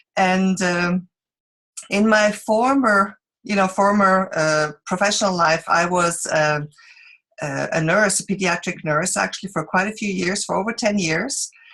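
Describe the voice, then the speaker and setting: A woman speaks with a Swiss accent. Her pitch varies in an ordinary way. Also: medium pitch for a woman, fairly slow pace. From Switzerland. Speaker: direct sales presenter. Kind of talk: business opportunity presentation. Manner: halting, many fillers.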